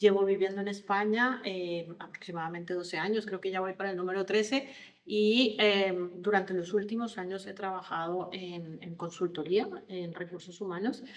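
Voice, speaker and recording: With a Colombian accent, a woman speaks at a medium pitch and a moderate pace, with fairly even intonation and big swings in loudness. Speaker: leadership consultant and coach. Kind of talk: podcast interview. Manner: hesitant, many fillers and repetitions.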